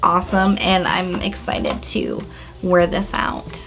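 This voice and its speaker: Noticeable background noise behind speech in an American accent. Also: woman. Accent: American accent when speaking Spanish. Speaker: YouTuber. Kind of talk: casual vlog storytime.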